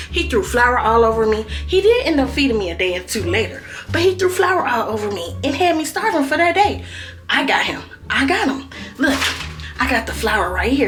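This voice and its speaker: A woman talks at a fairly quick pace. Audible room echo and music in the background accompany her. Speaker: prank vlogger. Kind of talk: casual vlog to camera. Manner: animated.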